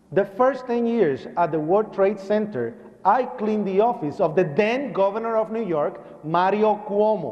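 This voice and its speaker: Speaking at a fairly slow pace in a Puerto Rican accent, a man with a high pitch uses lively intonation in a room with audible echo. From Puerto Rico. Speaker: 9/11 survivor and speaker. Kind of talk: public speech. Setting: church with audience and PA. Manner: animated.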